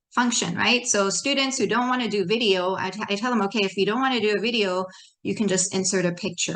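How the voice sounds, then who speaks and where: The woman's pitch is in the middle range. She has a bright, sharp tone. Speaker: high school teacher. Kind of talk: presentation to educators. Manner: animated.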